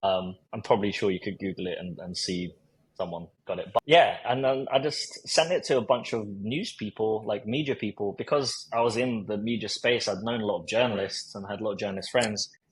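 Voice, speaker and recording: Somewhat breathy, the speaker talks at a fairly quick pace with ordinary pitch variation. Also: man. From South London, England. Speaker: recruiter and marketer. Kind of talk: podcast interview storytelling. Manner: casual, with many fillers and repetitions.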